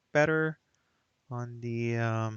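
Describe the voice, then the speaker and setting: A man with a non-native accent, in a dry, close sound with no echo. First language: not English. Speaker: hobbyist maker. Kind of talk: tutorial. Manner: halting; casual.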